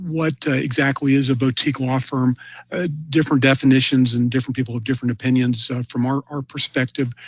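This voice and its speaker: A man talks at a very fast pace, his medium-pitched voice carrying fairly even intonation. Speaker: webinar presenter on e-discovery. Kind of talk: webinar presentation. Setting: online webinar. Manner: many filler words (uh, um).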